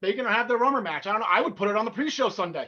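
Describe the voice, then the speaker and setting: A man with a New Jersey accent talks in a raised, projected voice, pitched high for a man, with lively intonation. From North Jersey, US. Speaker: wrestling podcast co-host. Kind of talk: casual chat. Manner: fast; halting.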